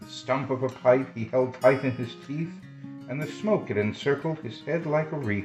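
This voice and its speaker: Music plays in the background as a man talks at a moderate pace. His voice sits at medium pitch and has a soothing tone. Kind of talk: children's story reading.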